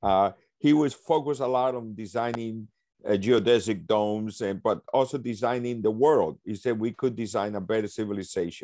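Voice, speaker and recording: A man's medium-pitched voice with a Spanish accent, dark and mellow in tone, ordinary pitch variation, a moderate pace, and a very clean recording with a silent background. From Colombia (Cartagena), then New York from 14. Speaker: leadership consultant. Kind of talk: casual discussion.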